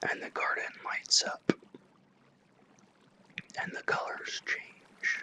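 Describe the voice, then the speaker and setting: A whisper moves along very slowly, broken by long, frequent pauses, with noticeable background noise throughout. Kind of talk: ASMR whisper reading. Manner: whispered, soft.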